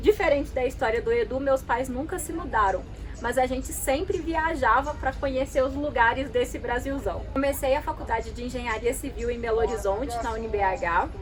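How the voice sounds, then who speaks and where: A woman's high-pitched voice with lively intonation, a moderate pace and hardly any pauses, over noticeable background noise. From Brazil, Minas Gerais (Itabirito). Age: 20s. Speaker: travel vlogger. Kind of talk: scripted narration.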